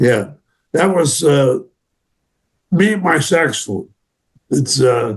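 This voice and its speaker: A man with a fairly high pitch and somewhat breathy voice talks at a very slow pace with lively intonation and long, frequent pauses. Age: 90s. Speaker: war veteran. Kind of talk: interview. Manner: halting.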